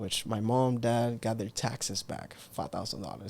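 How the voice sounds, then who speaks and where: A man talks at a fairly quick pace with a slight Cuban accent, recorded very cleanly against a silent background. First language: Spanish. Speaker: entrepreneur. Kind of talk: interview conversation. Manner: animated.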